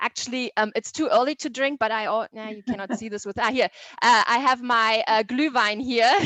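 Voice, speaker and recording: At a fairly quick pace, a woman talks in a fairly high pitch with fairly even intonation and big swings in loudness. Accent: German. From southern Germany. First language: German. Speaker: tourism sales manager. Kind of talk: presentation.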